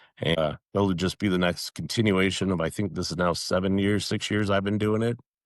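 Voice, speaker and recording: This man talks at a fairly quick pace with a fairly low pitch and very even loudness. The sound is dry and close with no echo, over a quiet background. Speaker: wrestling public address announcer. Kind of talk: interview. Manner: animated.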